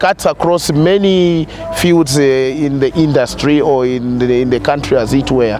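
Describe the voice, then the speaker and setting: A man talks with ordinary pitch variation in a dry sound with no echo. Noticeable background noise is present. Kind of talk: interview answer. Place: garden. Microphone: lapel.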